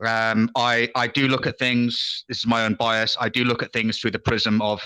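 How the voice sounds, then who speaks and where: A man with a British accent, bright, sharp tone and monotone, flat intonation at a moderate pace, in a very clean recording with a silent background. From England. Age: old. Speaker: retired military intelligence officer. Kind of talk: casual chat. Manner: halting.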